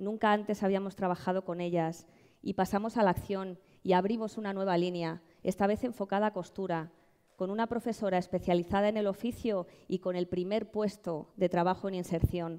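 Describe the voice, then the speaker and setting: A dark, mellow tone from a woman with a Madrid accent, medium pitch, fairly even intonation and a fairly quick pace, over a quiet background. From Madrid, Spain; Spain. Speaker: social entrepreneur. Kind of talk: award presentation speech. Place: stage. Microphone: headset.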